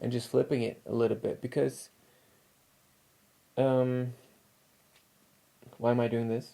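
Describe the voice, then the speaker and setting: Medium in pitch, this man's voice is heard here. His tone is dark and mellow. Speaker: spiritual channel host. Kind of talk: casual spiritual monologue. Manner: holding voice back, quieter than usual; halting, many fillers.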